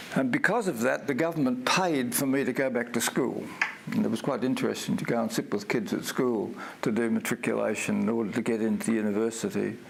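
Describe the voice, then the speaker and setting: A man with an Australian accent talks at a very fast pace and very even loudness. Noticeable background noise sits behind him. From Australia, Victoria (Mildura). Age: 80s+. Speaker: stroke peer support trainer, retired minister. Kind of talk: training talk.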